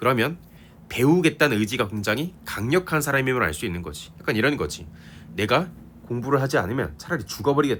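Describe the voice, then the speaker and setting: Over a very clean recording with a silent background, a man talks fairly quickly with vocal fry and very wide pitch swings. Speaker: literature teacher. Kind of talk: lecture. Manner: casual, conversational.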